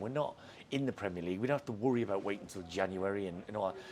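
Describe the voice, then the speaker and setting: A man at a very fast pace, with lively intonation. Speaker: football manager. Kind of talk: post-match interview. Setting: football stadium.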